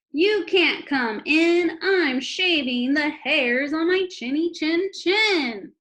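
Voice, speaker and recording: In a put-on character voice, the speaker shouts at a very slow pace with hardly any pauses. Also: woman, extremely high pitch for a woman. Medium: read story. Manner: rude, shouting.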